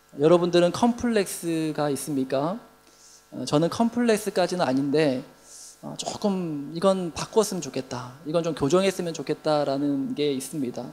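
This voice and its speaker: At a moderate pace the talking goes on over noticeable background noise. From South Korea, Busan (Gyeongsang). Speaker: pastor. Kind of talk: sermon.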